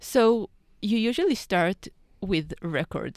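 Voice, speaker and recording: In a very clean recording with a silent background, a woman's voice comes through. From Israel. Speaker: PhD student studying plants. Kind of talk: interview answers about research. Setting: studio.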